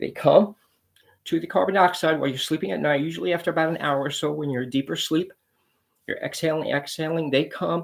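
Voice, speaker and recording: At a very fast pace, a man talks with vocal fry, a fairly high pitch and ordinary pitch variation. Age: 60s. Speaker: pest control business owner. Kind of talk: promotional talk to camera.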